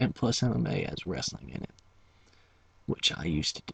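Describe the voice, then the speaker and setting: Vocal fry runs through a man's very deep, low voice with a bright, sharp tone. His pitch swings very widely as he speaks at a moderate pace. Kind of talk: ASMR whisper video, casual talk to camera. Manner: chewing gum while talking.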